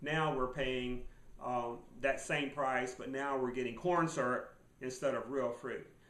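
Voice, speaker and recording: Amid audible room echo, a man with a medium-pitched voice speaks at a fairly slow pace with fairly even intonation. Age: 60s. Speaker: survival and finance video blogger. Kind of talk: casual monologue. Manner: halting, many fillers.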